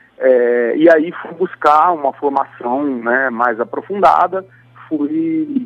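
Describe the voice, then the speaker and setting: Over noticeable background noise, a man speaks very slowly at a fairly high pitch with ordinary pitch variation. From Brazil, Campo Grande, Mato Grosso do Sul. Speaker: composer and guitarist. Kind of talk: radio interview. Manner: halting.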